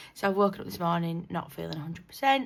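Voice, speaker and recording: With a British accent, a woman speaks in a fairly low voice. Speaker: budgeting YouTuber. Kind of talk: casual vlog talk. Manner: hesitant, many fillers.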